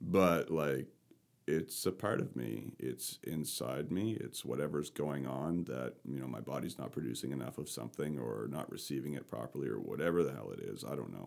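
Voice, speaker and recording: This man's pitch is very deep and low. Vocal fry runs through his voice. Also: ordinary pitch variation, moderate pace. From Canada, rural Nova Scotia. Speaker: podcast guest sharing experience with anxiety. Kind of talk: casual conversational interview. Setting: in-person recording in the same room.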